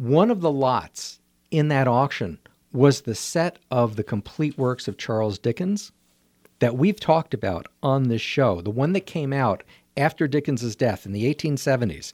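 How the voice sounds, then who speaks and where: A man with a normal speaking voice at medium pitch, lively intonation and a moderate pace, in a very clean, dry, close recording with no echo and a silent background. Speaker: art show host, guest. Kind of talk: casual radio conversation. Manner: warm, friendly, cheerful.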